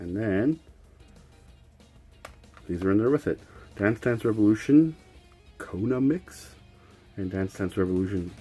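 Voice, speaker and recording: Over music in the background, a man speaks with long, frequent pauses. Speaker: video game collector. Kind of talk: casual talk to camera.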